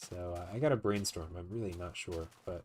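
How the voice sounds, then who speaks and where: At a fairly quick pace, a man speaks with a very deep, low pitch and a somewhat breathy voice. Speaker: gaming video creator. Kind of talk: let's play commentary. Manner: casual, hesitant with fillers.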